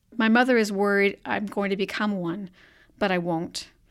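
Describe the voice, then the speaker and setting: A plain, everyday voice with ordinary pitch variation goes at a moderate pace in a very clean recording with a silent background. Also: woman. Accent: American. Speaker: writer. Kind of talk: reading aloud. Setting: studio.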